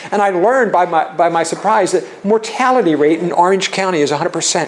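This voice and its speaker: Over noticeable background noise, a man talks at a very fast pace in a high pitch, with ordinary pitch variation. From Philadelphia, US. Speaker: charitable giving and tax planning speaker. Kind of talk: seminar presentation. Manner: halting, many fillers and restarts.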